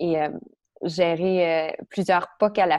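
Very slow delivery in a Quebec accent. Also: woman. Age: 30s. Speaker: stress and anxiety coach. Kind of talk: interview.

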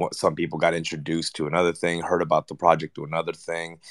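A man's very deep, low voice stays monotone and flat. The sound is dry and close with no echo, on a very clean recording with a silent background. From Los Angeles Koreatown, born in Argentina. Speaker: rapper and actor. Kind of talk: casual panel chat.

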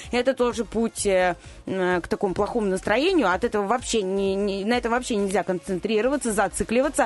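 A woman speaks in an unremarkable speaking voice at medium pitch. Her pace is fairly quick, with ordinary pitch variation and very even loudness. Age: 30s. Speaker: radio news presenter. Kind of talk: radio segment, casual talk.

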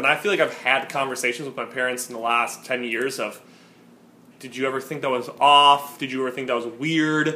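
At a moderate pace, a man with a fairly high pitch uses a normal speaking voice and ordinary pitch variation. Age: 20s. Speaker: podcast co-host. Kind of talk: casual chat.

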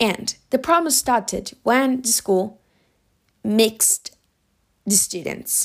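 A woman with a Spanish accent and lively intonation on a very clean recording with a silent background. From Spain. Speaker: podcast host. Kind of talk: casual monologue.

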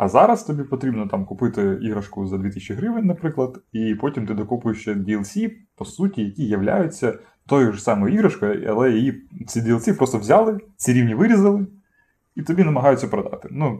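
Pitch rises and falls across a very wide range. The tone is dark and mellow, with some breathiness. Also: man, medium pitch for a man, moderate pace. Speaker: podcast co-host. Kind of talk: casual chat. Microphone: cheap poor-quality microphone.

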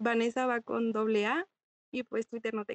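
The speaker is a woman. Her recording sounds dry and close, with no echo. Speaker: law student, panelist. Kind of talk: casual panel discussion.

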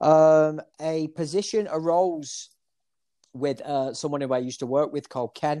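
A man's fairly high voice in a Manchester accent, dark and mellow in tone, with fairly even intonation, on a very clean recording with a silent background. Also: fairly slow pace. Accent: Mancunian, northern English. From Manchester area, northern England. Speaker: barber. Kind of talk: casual interview.

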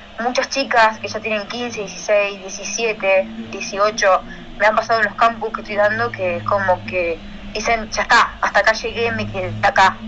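A woman speaks in a fairly high, monotone voice with flat intonation at a moderate pace. Background noise is noticeable. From Argentina, Santa Fe province. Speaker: hockey coach. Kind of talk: interview.

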